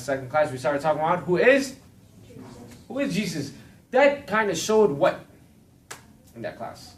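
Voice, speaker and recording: Amid audible room echo, a man with a fairly high voice talks at a fairly quick pace, making long, frequent pauses, with very wide pitch swings and big swings in loudness. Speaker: Bible class teacher. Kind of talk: lecture. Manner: fast.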